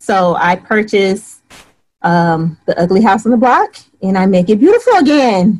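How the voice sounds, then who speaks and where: This woman has an American accent. Her voice is somewhat breathy and very even in loudness. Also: medium pitch for a woman, ordinary pitch variation, moderate pace. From Michigan (Flint). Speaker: short-term rental host and real estate investor. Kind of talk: interview.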